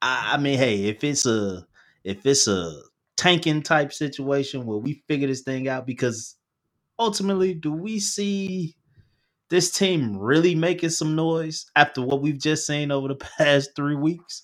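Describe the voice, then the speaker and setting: A man with an American accent, fairly high in pitch, with lively intonation at a fairly slow pace, on a very clean recording with a silent background. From Chicago. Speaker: sports podcast co-host, coach. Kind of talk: casual sports chat.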